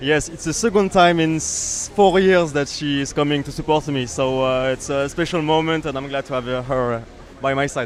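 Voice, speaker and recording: Moderate pace and ordinary pitch variation, over noticeable background noise. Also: man, fairly high pitch for a man. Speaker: kart racing team member. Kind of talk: interview. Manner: hesitant, many fillers.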